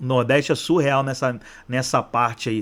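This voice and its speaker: A man at a medium pitch, talking at a fairly slow pace. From Rio de Janeiro, Brazil. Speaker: football YouTuber. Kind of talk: casual vlog commentary. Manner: repeats words, hesitant.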